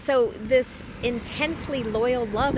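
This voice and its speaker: A woman with a fairly high voice talks while noticeable noise runs in the background. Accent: American. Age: 50s. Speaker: parishioner giving a scripture reflection. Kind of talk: spiritual reflection. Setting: outdoors.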